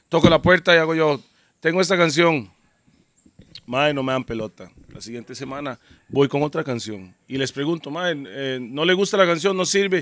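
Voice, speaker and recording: In a dry sound with no echo over a quiet background, a man talks at a moderate pace and a fairly high pitch, with lively intonation and big swings in loudness. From Costa Rica. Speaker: DJ and podcast host; DJ, podcast host. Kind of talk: casual chat. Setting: outdoors in the jungle. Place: garden. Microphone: handheld.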